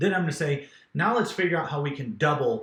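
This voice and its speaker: Somewhat breathy, a man talks at a very fast pace. His pitch variation is ordinary. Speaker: real estate business coach. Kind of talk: business training talk.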